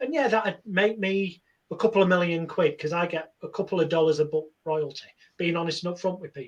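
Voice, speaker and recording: With a Lancashire accent, a man talks at a fairly quick pace in a high pitch, using ordinary pitch variation. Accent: northern English (Lancashire). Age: 40s. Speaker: hypnotherapist. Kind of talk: interview.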